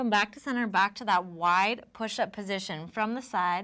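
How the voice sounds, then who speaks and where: The speaker has a calm tone and ordinary pitch variation, talking at a fairly slow pace over a quiet background. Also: woman. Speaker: yoga instructor. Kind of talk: guided workout tutorial. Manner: calm, encouraging instructional pace. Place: studio. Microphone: lapel.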